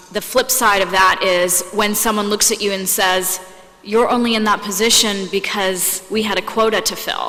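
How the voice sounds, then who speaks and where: An American woman talks at a moderate pace in a flat, monotone delivery. Noticeable background noise sits behind her voice. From United States, Indian family. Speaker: panelist. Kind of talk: panel discussion.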